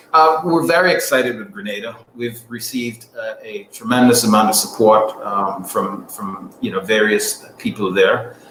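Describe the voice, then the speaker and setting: At a moderate pace with hardly any pauses, the voice shows big swings in loudness against noticeable background noise. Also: man. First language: not English. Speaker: airline executive. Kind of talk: radio interview. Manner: halting, many fillers.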